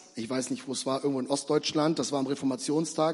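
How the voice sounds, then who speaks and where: A man speaks in an animated tone. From Bremen, northern Germany. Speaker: preacher, church planting pastor. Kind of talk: evangelistic sermon, preacher in full flow. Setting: stage in church with audience. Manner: animated, fervent, urgent; direct, rhetorical questions, conversational.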